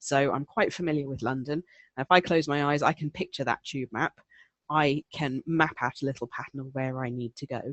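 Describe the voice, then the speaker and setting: With a very deep, low pitch, a woman talks at a fairly quick pace with fairly even intonation. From southeast England. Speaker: elearning presenter. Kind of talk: webinar presentation answering questions. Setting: online webinar. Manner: conversational with many fillers.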